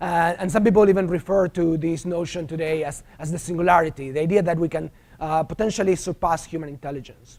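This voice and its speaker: A man speaks very fast with a strong Argentine accent, his pitch high and his intonation fairly even, with hardly any pauses. The recording is very clean, with a silent background. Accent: thick Argentine Spanish. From Argentina. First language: Spanish. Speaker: professor. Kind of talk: lecture. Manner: hesitant, many filler sounds.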